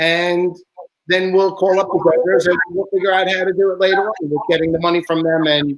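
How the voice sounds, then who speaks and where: With an American accent, a man speaks at a very fast pace in a monotone, flat intonation. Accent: New York accent (teased by others, denies it). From Long Island, New York. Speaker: truck service shop owner. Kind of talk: casual live broadcast chat. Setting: live broadcast.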